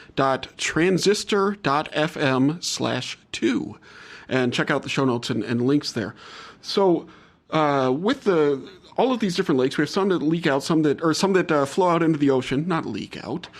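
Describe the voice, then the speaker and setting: A man with an American accent talks at a moderate pace in an unremarkable speaking voice, pitched fairly high. His intonation is lively, and the recording is very clean with a silent background. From US South, New Orleans. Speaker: podcast host. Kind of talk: casual podcast interview.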